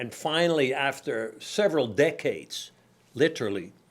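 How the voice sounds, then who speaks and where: A man with a Dutch accent talks at a moderate pace on a very clean recording with a silent background. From Netherlands, Amsterdam. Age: 70s. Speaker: company founder. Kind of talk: interview.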